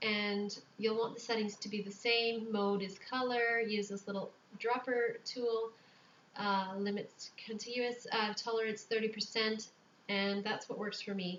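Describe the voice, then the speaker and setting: Soft-spoken, a woman talks at a fairly slow pace with a fairly high pitch. Her intonation is monotone and flat. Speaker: newborn photographer making tutorials. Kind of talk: tutorial. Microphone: microphone a little ways away, quiet.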